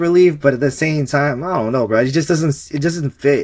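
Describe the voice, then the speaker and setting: Here a man speaks at a fairly high pitch and a fairly quick pace, with ordinary pitch variation. The recording is very clean, with a silent background. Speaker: film commentary podcast co-host. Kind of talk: casual chat. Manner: mumbling.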